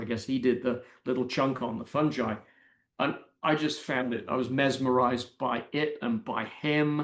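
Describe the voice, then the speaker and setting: With an English accent, a man talks in a medium pitch with ordinary pitch variation against a quiet background. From Britain. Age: 60s. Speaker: mycologist and science writer. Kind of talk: interview. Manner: halting.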